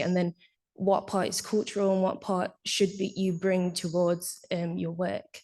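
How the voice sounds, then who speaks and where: A dark, mellow tone at a moderate pace, in a Nottingham accent. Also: woman. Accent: faint Nottingham accent, careful enunciation. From Nottingham, England. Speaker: audience member asking a question. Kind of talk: audience question. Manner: clear, carefully enunciated.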